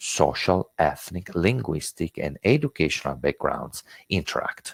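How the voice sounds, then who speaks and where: A man speaks in an Italian accent at a moderate pace. His very deep, low voice moves through very wide pitch swings. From Italy. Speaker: intercultural education trainer. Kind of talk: webinar lecture. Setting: online webinar. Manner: hesitant, many filler words.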